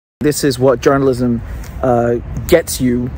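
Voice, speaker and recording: With light background noise, a man talks at a moderate pace, his pitch varying an ordinary amount, and the sound is dry with no echo. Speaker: independent journalist. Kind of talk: commentary. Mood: indignant, critical. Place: street. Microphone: phone near.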